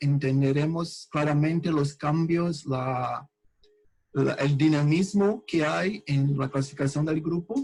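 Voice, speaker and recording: A man with a Portuguese accent, somewhat breathy, at a very slow pace with fairly even intonation and a fairly high pitch. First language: Portuguese (speaking Spanish). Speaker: researcher. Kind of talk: lecture. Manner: halting.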